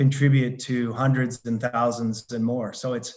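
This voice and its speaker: In a Canadian accent, a man speaks fairly slowly at a medium pitch with a monotone, flat intonation. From Canada, Alberta. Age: 60s. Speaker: retired consultant and life coach. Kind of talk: podcast interview.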